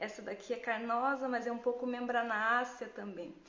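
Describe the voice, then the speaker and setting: Noticeable background noise and audible echo in the room. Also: woman. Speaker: gardening educator. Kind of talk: live Q&A tutorial. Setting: Instagram live stream. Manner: casual, conversational with fillers.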